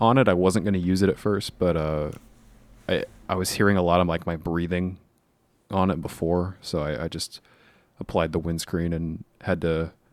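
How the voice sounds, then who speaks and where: A man's very deep, low voice at a moderate pace, fairly even intonation, long and frequent pauses, a very clean recording with a silent background. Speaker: podcast co-host and editor. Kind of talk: casual chat. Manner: loud. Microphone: new USB condenser mic with windscreen.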